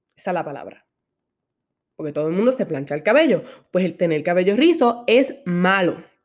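Talking at a fairly quick pace in an animated tone, a woman makes very wide pitch swings and leaves long, frequent pauses. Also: medium pitch for a woman. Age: 20s. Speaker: podcast host. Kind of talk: personal monologue.

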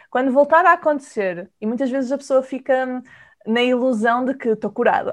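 Over a quiet background, a woman talks at a moderate pace in a high pitch with ordinary pitch variation. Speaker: podcast host and nutritionist. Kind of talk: interview.

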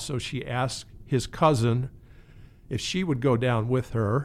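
A man with a plain, everyday voice and an American accent speaks at a medium pitch with ordinary pitch variation. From Maryland, US. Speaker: counseling center director and therapist. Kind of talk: casual interview.

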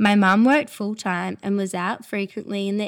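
At a moderate pace, a woman with an Australian accent speaks at medium pitch on a very clean recording with a silent background. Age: 20s. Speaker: eating disorder recovery speaker. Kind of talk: testimony.

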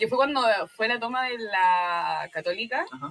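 A woman with a Chilean accent, fairly high-pitched with lively intonation, at a fairly quick pace over music in the background. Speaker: university student with own podcast. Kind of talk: casual chat.

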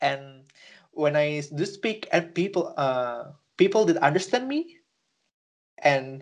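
A man's fairly high voice in an Indonesian accent, at a fairly slow pace. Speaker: podcast co-host. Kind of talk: casual chat. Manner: halting.

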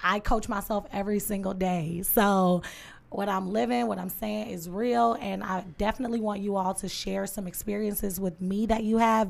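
A woman speaks at a medium pitch and a moderate pace, with fairly even intonation. The recording is very clean, with a silent background. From Detroit, east side. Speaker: podcast host. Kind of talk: casual chat; motivational talk.

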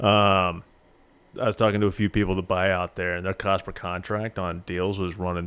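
With an American accent, a man talks fairly quickly in a flat monotone at a very deep, low pitch. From US Midwest, Springfield, Missouri. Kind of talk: casual interview.

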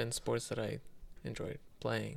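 The pace is moderate. The speaker is a man. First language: not English. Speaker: gaming podcast co-host. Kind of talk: casual chat. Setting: studio with headphones.

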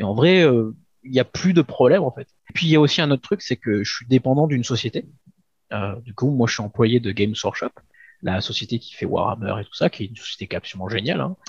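Somewhat breathy and at a medium pitch, a man talks at a very fast pace with big swings in loudness. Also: lively intonation, dry, close sound with no echo. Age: 40s. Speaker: shop manager. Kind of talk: interview. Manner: halting, many fillers.

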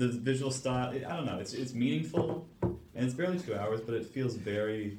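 A medium-pitched man at a fairly quick pace, with lively intonation, hardly any pauses and noticeable background noise. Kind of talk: casual chat about sci-fi films.

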